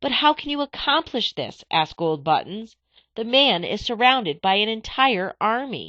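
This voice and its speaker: A put-on character voice, female-sounding and fairly high in pitch, raised and projected, shaky, at a moderate pace. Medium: read story. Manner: shaky, nervous.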